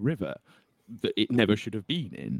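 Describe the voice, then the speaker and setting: In a northern English accent, a man speaks with lively intonation and vocal fry, the sound dry and close with no echo. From northern England. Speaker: journalist and author. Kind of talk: interview.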